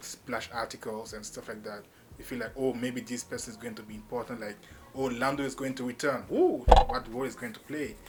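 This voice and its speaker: A man with a Cameroonian accent speaks fairly quickly at a medium pitch in a monotone, flat intonation. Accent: Cameroonian (francophone) English. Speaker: YouTube movie reviewer. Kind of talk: casual video review. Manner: freestyle, impromptu with fillers.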